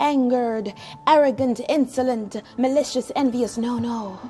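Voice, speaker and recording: Music plays behind a woman speaking at a high pitch with ordinary pitch variation. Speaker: spoken word poet. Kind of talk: spoken word poetry performance.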